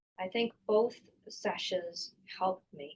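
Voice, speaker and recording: Somewhat breathy and at a medium pitch, a woman speaks very slowly with fairly even intonation. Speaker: lawyer. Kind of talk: interview. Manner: halting.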